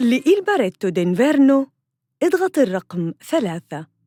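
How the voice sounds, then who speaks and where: Over music in the background, a woman speaks very slowly at a high pitch with very wide pitch swings, in a dry, close sound with no echo. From Saudi Arabia. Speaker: voice artist. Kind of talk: IVR phone system prompt.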